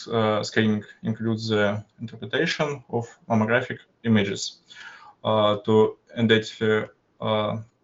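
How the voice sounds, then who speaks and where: A man with a Russian accent speaks at a medium pitch. His intonation is fairly even and his pace fairly slow. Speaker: university student. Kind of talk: student project presentation. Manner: halting, many filler sounds.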